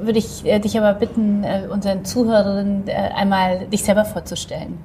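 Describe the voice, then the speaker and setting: A woman at medium pitch and moderate pace, monotone and flat in intonation, with noticeable background noise. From Poland. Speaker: magazine publisher, podcast host. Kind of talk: interview, casual chat.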